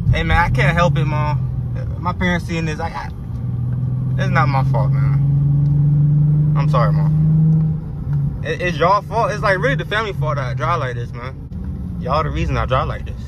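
A man talks at a moderate pace with long, frequent pauses, the sound dry with no echo against loud background noise. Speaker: driver vlogger. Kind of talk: casual vlog chat. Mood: playful, boastful. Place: car.

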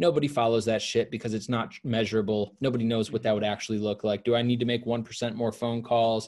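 A man with an American accent talks at a very fast pace, with hardly any pauses. His intonation is monotone and flat against a quiet background. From Milwaukee, Wisconsin; Wisconsin. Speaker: sales trainer and entrepreneur; sales trainer. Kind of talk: casual interview. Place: home room.

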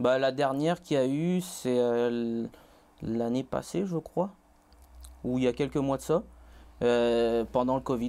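At a very slow pace, a man with a dark, mellow tone leaves long, frequent pauses and uses ordinary pitch variation. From Réunion, Saint-Pierre; Réunion. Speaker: college student; interview guest. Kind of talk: interview. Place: studio. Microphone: lapel.

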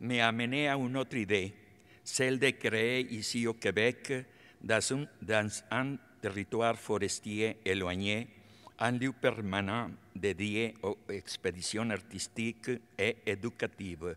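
A man speaks very slowly in a Spanish accent, with a bright, sharp tone. His pitch varies in an ordinary way. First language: Spanish (speaking French). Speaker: artist, honorary doctorate recipient. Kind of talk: acceptance speech. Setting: concert hall stage with audience. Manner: halting. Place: hall. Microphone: podium.

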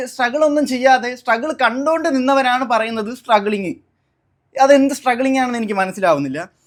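The man's pitch is extremely high. It varies in an ordinary way. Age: 20s. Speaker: YouTuber. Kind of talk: personal statement to viewers. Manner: halting, repetitive.

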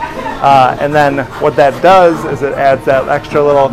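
Over clear music in the background, a man speaks at a fairly slow pace with fairly even intonation. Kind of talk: casual explanatory tour talk. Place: kitchen. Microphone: lapel.

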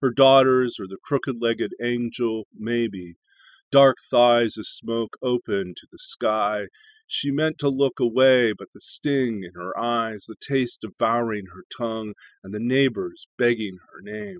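A man at a fairly slow pace, big swings in loudness and ordinary pitch variation, dry sound with no echo, quiet background. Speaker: poetry channel host and reader. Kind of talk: poem reading. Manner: measured, expressive reading aloud. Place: home room. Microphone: webcam.

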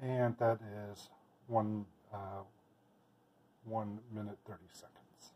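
A soft-spoken man with a dark, mellow tone talks at a very slow pace and fairly low pitch, his somewhat breathy delivery monotone and flat, broken by long, frequent pauses. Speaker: home plant keeper. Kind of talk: casual narration of home experiment. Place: kitchen. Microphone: phone near.

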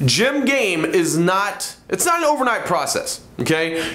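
This man speaks with a high pitch, and there is audible room echo. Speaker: presenter. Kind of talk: motivational talk to camera. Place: studio.

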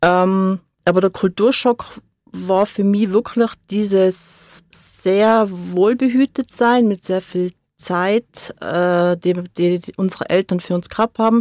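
Very slow speech with fairly even intonation, in a dry, close sound without echo. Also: woman, medium pitch for a woman. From born in Hamburg, grew up in Seefeld, Tyrol. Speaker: studio guest. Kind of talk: radio interview. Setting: radio studio.

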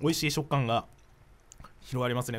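The speaker is male. He talks at a fairly quick speed. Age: 20s. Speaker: internet radio co-host, voice actor. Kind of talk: casual chat. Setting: studio, live-streamed recording. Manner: animated. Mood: relaxed, joking. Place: studio. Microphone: studio mic.

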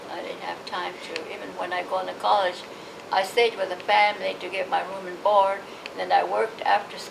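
The speaker has an American accent. Background noise is noticeable. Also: woman. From Los Angeles, California. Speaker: oral history interviewee, Japanese American. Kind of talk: oral history interview answer. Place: home room.

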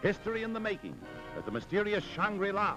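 Clear music plays in the background as a man speaks in a raised, projected voice. His tone is dramatic and his pace fairly quick. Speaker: newsreel commentator. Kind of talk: wartime newsreel narration. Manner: dramatic, emphatic. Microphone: old recording.

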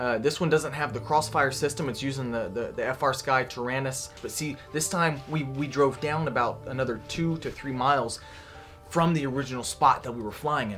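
At a moderate pace, a man speaks with ordinary pitch variation while faint music plays in the background. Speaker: drone hobby vlogger. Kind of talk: casual vlog chat. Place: workshop. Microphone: phone near.

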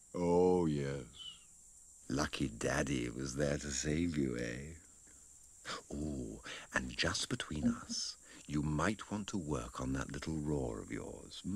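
Using a put-on character voice, a man speaks at a very slow pace in a very deep, low pitch. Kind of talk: fan dub voice acting. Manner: sly, condescending, falsely sweet.

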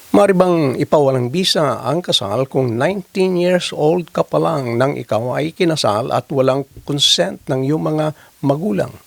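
At a fairly slow pace, a man with a fairly high pitch and an unremarkable speaking voice talks with lively intonation, the sound dry and close with no echo. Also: hardly any pauses. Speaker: lawyer answering viewer legal questions. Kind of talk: legal explainer video.

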